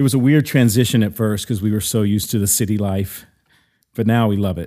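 This man's voice is fairly low in pitch, with a dark, mellow tone and ordinary pitch variation. The recording is very clean, the background silent. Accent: American. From US South, Mississippi. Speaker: drummer. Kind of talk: interview.

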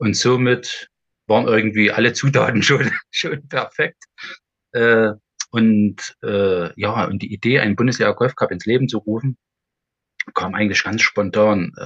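A man speaks at a fairly slow pace with a medium pitch, ordinary pitch variation, and long, frequent pauses. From Erzgebirge, Saxony. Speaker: golf event organizer. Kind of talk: casual interview.

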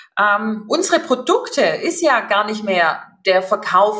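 A woman's fairly high voice with very wide pitch swings. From Upper Swabia, southern Germany. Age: 40s. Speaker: HR executive. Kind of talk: interview.

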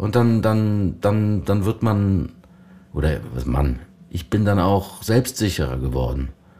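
The speaker's pitch swings very widely over noticeable background noise. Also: man. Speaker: voice actor and actor. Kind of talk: casual chat. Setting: room near a lake, Ahaus.

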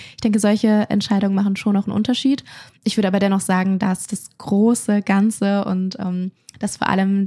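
At a moderate pace, the voice runs in a monotone, flat intonation with a dry, close sound and no echo. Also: woman. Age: 20s. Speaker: content creator. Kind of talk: casual conversation.

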